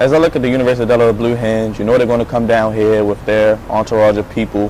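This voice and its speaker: A man talks at a very fast pace and a medium pitch in a monotone, flat delivery. Noticeable background noise sits behind him. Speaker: sports play-by-play announcer and host. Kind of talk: sports broadcast reporting and interviewing.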